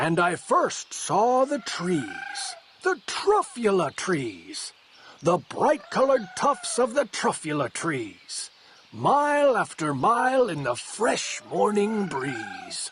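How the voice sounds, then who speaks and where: A man's put-on character voice, high-pitched and delivered at a very slow pace. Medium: read story.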